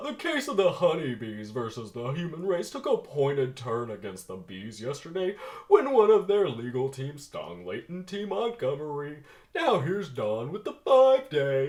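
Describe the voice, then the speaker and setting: A man puts on a character voice at a fairly high pitch. His pitch swings very widely at a moderate pace. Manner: broadcast news delivery.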